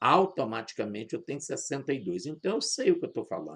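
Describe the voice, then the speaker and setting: A man talks fairly quickly, the background around him quiet. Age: 60s. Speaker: pastor. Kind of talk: sermon.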